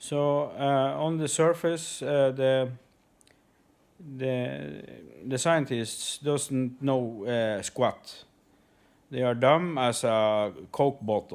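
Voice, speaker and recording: A man speaks at a very slow pace with long, frequent pauses. His pitch is medium, with ordinary variation. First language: not English. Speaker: conspiracy video uploader. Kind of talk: monologue to camera. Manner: halting, many fillers.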